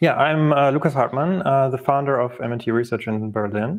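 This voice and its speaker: A man talks at a fairly quick pace, with a quiet background behind him. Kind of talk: conference talk.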